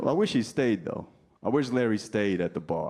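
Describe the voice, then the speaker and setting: A man with a New Jersey accent and a dark, mellow tone. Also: quiet background. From New Jersey, US. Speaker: stand-up comedian. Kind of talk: stand-up. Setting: stage with audience.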